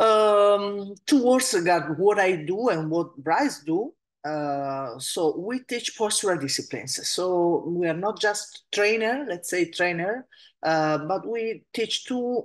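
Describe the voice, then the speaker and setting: In an Italian accent, the speaker moves at a very slow pace with lively intonation. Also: woman, medium pitch for a woman. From Italy. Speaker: Pilates and movement teacher, podcast host. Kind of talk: solo podcast talk. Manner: halting, many fillers.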